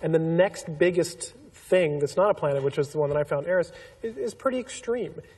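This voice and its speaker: A fairly quick pace with ordinary pitch variation, over noticeable background noise. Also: man. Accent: American. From Pasadena, southern California. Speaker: astronomer. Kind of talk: public panel discussion.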